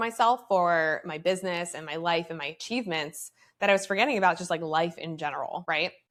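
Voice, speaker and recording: A woman with a plain, everyday voice at a fairly quick pace, on a very clean recording with a silent background. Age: 30s. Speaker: podcast host and motivational speaker. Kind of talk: casual personal monologue. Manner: conversational with many fillers.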